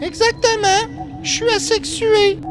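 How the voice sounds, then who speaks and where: A squeaky, cartoonish character voice at an extremely high pitch moves at a fairly slow pace over loud music in the background. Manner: deadpan, superior.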